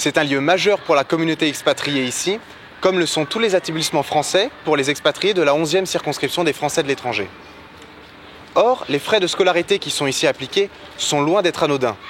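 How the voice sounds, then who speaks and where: A man with a fairly high pitch and ordinary pitch variation speaks fairly quickly over noticeable background noise. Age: 20s. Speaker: political candidate. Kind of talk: campaign statement. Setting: outdoors in front of a school.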